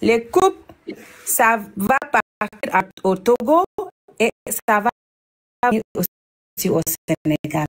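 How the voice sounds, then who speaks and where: Speaking at a very slow pace with long, frequent pauses, a woman uses a fairly high pitch with very wide pitch swings and very even loudness, in a dry, close sound with no echo. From Senegal. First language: German (speaking French). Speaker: caller. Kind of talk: call-in comment. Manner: halting.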